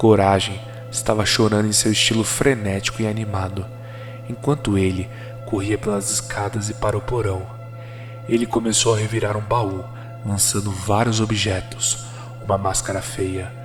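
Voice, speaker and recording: Over music in the background, a man with a fairly low pitch speaks at a moderate pace in a monotone, flat intonation, leaving long, frequent pauses. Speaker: horror story narrator. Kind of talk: horror story narration.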